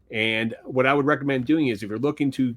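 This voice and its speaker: A man with a Philadelphia accent speaks at a medium pitch with ordinary pitch variation. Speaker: sports card podcast co-host and card flipper. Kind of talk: casual chat.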